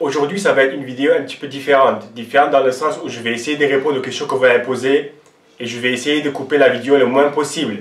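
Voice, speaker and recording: A man talks in a fairly high register, and the room echo is audible. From Lebanon (Armenian-Lebanese). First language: not French (Armenian/Arabic) (speaking French). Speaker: fitness coach and YouTuber.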